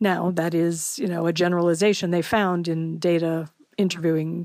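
A woman with an ordinary speaking voice, fairly low in pitch, at a moderate pace. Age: 50s. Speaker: political science professor. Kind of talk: interview.

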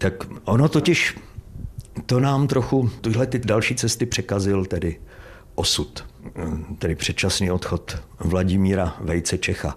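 A man speaks at a fairly slow pace in a fairly low, somewhat breathy voice. His intonation is lively, broken by long, frequent pauses. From East Bohemia, Czech Republic (Trutnov, Vysoké Mýto). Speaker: stage actor. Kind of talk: casual interview. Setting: actor's dressing room at theatre.

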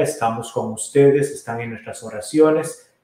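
Fairly even in intonation, a man speaks at medium pitch in an ordinary speaking voice. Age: 40s. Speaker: priest, podcast host. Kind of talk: casual chat.

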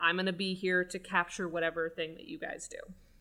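A woman's voice comes through with a bright, sharp tone. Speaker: podcast co-host, writer and director. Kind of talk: casual podcast conversation about filmmaking. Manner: fast talker, by her own admission.

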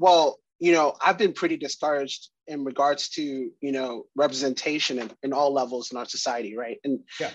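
In an American accent, a man uses an ordinary speaking voice at a moderate pace. His pitch is fairly high, with ordinary pitch variation. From Ghana, then Wisconsin from age 11. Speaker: fraternity member and diversity committee member. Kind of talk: interview.

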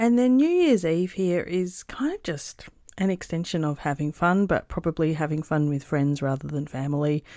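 On a very clean recording with a silent background, a woman with an Australian accent speaks at a moderate pace in a fairly low, dark, mellow voice with lively intonation. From Perth, Western Australia. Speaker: travel podcaster. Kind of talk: recorded contribution, casual recollection.

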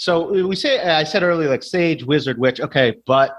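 A man with a normal speaking voice talks at a moderate pace, his pitch fairly high and its variation ordinary. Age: 30s. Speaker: horror author. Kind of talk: casual chat.

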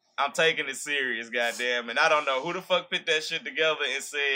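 Talking at a fairly quick pace, a man with an American accent shows ordinary pitch variation. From Shreveport, Louisiana. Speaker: guest, former HBCU band member. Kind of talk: casual chat. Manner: animated.

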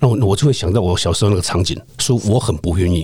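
A man speaks at a fairly quick pace with lively intonation. His voice is somewhat breathy, with a dark, mellow tone. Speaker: retired police detective. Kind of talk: interview conversation.

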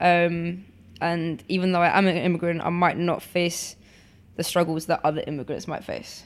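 A woman with a London accent at a moderate pace, fairly low in pitch, monotone and flat. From England, London (born in Poland). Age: 20s. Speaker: photographer. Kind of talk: interview.

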